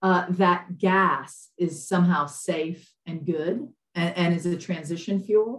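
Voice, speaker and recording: A woman talks in a normal speaking voice with an American accent. Her pitch is fairly low and her intonation fairly even. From US South, Lafayette, Louisiana. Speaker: environmental activist, nonprofit director. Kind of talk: interview conversation.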